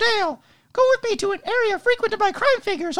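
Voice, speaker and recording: A put-on character voice at an extremely high pitch and very fast pace. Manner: odd, mysterious.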